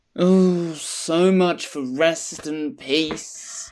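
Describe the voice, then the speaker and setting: A put-on character voice at a middle pitch. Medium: audio drama.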